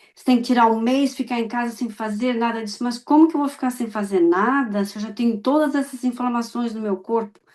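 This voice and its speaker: A normal speaking voice moves at a fairly quick pace with hardly any pauses. The intonation stays fairly even. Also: woman, fairly high pitch for a woman. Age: 60s. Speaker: immigrant client giving testimonial. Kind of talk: testimony.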